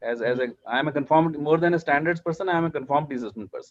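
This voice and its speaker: A man talks at a fairly quick pace with an Indian accent. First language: Hindi. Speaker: standards and accreditation official. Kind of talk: panel discussion.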